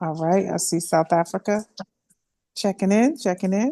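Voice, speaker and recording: With music in the background, a woman at medium pitch talks at a moderate pace with ordinary pitch variation in a dry, close sound with no echo. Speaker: host of online youth class. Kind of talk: hosting an online class, housekeeping announcements. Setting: online video call.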